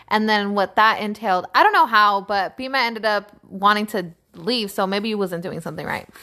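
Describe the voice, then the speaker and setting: Bright and sharp in tone, the voice moves at a moderate pace. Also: woman. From Northern California (East Palo Alto). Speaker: podcast co-host. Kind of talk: casual chat.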